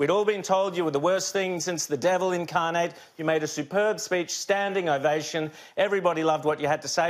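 A man's high voice in an Australian accent at a very fast pace, with fairly even intonation, against a quiet background. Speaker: TV news host. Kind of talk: TV interview. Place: studio.

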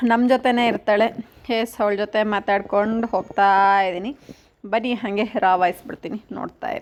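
Pitched fairly high, a woman talks in a normal speaking voice with ordinary pitch variation. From Karnataka, India. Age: 20s. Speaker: vlogger; village vlogger. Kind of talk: vlog narration. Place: farm. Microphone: phone near.

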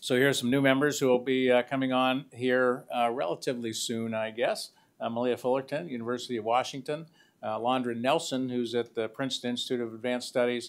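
A man talks at a very fast pace in a monotone, flat way. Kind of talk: meeting report presentation. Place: meeting room.

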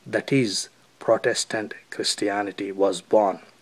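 Speaking with an Indian accent, a man shows ordinary pitch variation. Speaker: video commentator. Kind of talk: opinion commentary.

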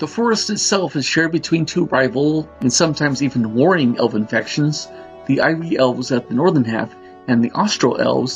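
Music in the background and a fairly brisk pace from a man. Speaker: narrator reading a novel. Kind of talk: audiobook narration.

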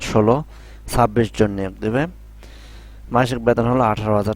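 Here is a man at a medium pitch. He has an ordinary speaking voice. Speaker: YouTuber explaining job circulars. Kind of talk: tutorial. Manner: casual, repetitive with filler phrases.

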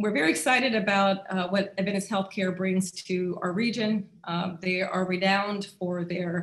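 A woman's voice, somewhat breathy, comes across with monotone, flat intonation. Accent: American. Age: 50s. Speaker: local politician. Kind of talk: virtual community meeting. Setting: video call.

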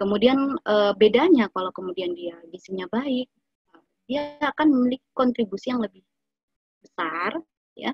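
Somewhat breathy speech from a woman, fairly high in pitch with very wide pitch swings, at a moderate pace. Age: 30s. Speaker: nutritionist giving an Islamic study talk. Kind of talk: lecture; Q&A answers.

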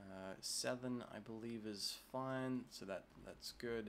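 With an Australian accent, a man speaks at a medium pitch and with fairly even intonation. Light background noise can be heard. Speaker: tech YouTuber. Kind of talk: tutorial. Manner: casual with frequent filler 'uh'.

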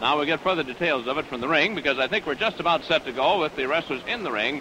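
At a very fast pace, a man talks in a fairly high voice with ordinary pitch variation, the sound dry with no echo and noticeable background noise behind him. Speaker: wrestling commentator. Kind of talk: live sports commentary. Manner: enthusiastic. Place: stadium. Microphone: studio mic.

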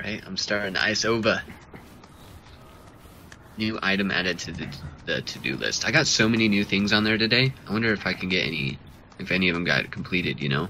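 A man's fairly low-pitched voice at a fairly quick pace, with ordinary pitch variation, long and frequent pauses, and noticeable background noise. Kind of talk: casual co-op gameplay commentary.

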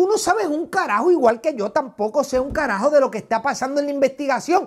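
Against a quiet background, a man speaks at a fairly quick pace in an extremely high pitch, swinging very widely up and down. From Puerto Rico. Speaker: YouTuber, commentator. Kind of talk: reaction commentary video. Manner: animated, combative. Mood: combative, scornful. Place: studio. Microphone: lapel.

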